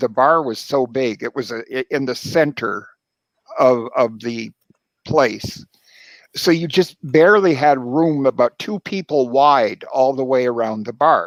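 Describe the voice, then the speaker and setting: In a normal speaking voice, a man talks at a fairly slow pace and fairly high pitch with ordinary pitch variation, in a dry, close sound with no echo. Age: 60s. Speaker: house music DJ. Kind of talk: interview.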